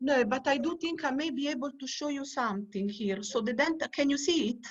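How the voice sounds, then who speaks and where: Against a quiet background, a woman with an Italian accent speaks at a fairly quick pace. Her voice is high-pitched. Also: ordinary pitch variation. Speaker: archaeobotanist researcher. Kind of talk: online lecture.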